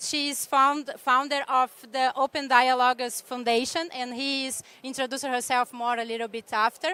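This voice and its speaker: A woman with a non-native accent speaks in a high, raised, projected voice with a bright, sharp tone. Her intonation stays monotone and flat at a moderate pace, in a dry, close sound with no echo. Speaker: panel moderator, executive director of youth climate organization. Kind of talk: panel moderation. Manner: halting.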